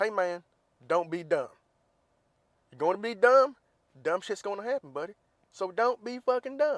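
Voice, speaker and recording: Putting on a drawling character voice with a Southern accent, a man speaks in a high pitch at a moderate pace, with long, frequent pauses. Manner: blunt, direct, drawling.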